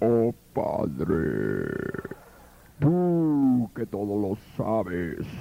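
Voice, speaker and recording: A man does a put-on character voice at a medium pitch with very wide pitch swings. He speaks at a very slow pace, with long, frequent pauses. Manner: solemn, mocking prayer.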